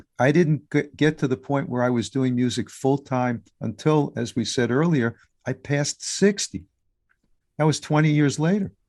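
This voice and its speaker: A man with an American accent and an ordinary speaking voice, fairly high-pitched, with ordinary pitch variation, at a moderate pace, in a dry, close sound with no echo. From US Northeast, New York City. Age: 60s. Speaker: musician and podcaster. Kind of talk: interview.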